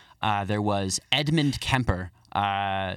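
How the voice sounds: A man talks at a fairly low pitch. The tone is fairly bright.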